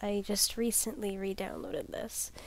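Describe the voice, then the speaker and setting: Against light background noise, a woman with a dark, mellow tone speaks at a fairly slow pace with fairly even intonation, the sound dry with no echo. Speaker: gamer. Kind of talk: casual let's play commentary. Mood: joking, playful, late night. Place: home room. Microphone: headset.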